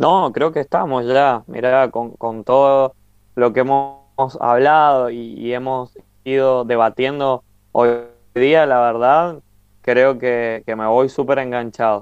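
With music in the background, a man in a Cuyo Argentine accent talks very slowly at a medium pitch. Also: fairly even intonation. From Argentina, Mendoza. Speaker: podcast co-host. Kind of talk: casual chat.

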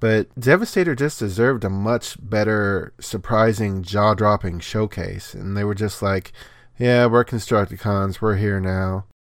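A man's normal speaking voice, fairly low in pitch, with fairly even intonation at a fairly slow pace, on a very clean recording with a silent background. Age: 40s. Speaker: podcast co-host and editor. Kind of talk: casual chat.

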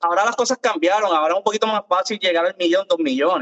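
A man with a Puerto Rican accent, high-pitched, with lively intonation. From Puerto Rico. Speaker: content creator. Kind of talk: casual chat.

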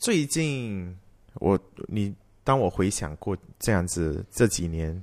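Speaking at a very slow pace with long, frequent pauses, a man uses lively intonation on a very clean recording with a silent background. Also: fairly low pitch for a man. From Malaysia. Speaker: worship leader and singer. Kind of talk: testimony.

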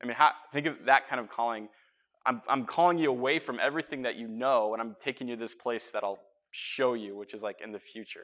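A man talks at a very fast pace in a bright, sharp tone, with big swings in loudness. The recording is very clean, and the background is silent. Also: medium pitch for a man, ordinary pitch variation. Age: 30s. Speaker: pastor. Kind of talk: sermon. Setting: church. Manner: casual, hesitant with fillers.

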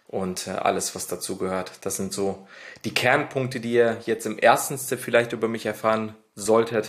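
A man in a normal speaking voice, medium in pitch, at a fairly slow pace with fairly even intonation. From Ruhr area, Germany (Lünen near Dortmund). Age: 20s. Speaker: podcast co-host. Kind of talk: casual podcast intro.

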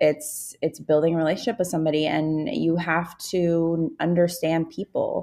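A normal speaking voice, a woman with a fairly low pitch talks at a moderate pace in a very clean recording with a silent background. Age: 30s. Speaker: business coach and consultant. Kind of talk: casual chat.

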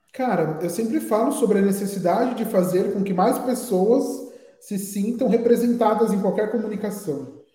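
Audible room echo carries the high-pitched voice of a man. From Brazil, Guarulhos (São Paulo area). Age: 20s. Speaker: advertising professional and agency founder. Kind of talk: interview.

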